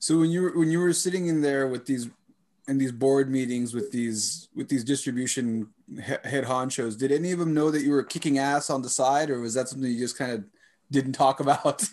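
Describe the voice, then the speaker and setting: A man's normal speaking voice, fairly high in pitch, at a fairly quick pace with ordinary pitch variation. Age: 30s. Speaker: podcast host, martial artist and ESL teacher. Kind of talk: interview. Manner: casual, laughs often.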